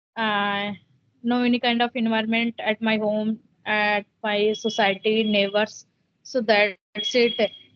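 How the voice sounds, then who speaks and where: A woman with an Indian accent speaks at a fairly high pitch. Her pace is fairly slow and her intonation monotone and flat. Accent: Indian (Hindi) English. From India, Uttar Pradesh. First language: Hindi. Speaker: homemaker, English learner. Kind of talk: English conversation practice interview. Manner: halting.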